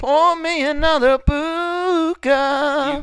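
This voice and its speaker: This put-on character voice is pitched high. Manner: slurred, drawn-out, exaggerated.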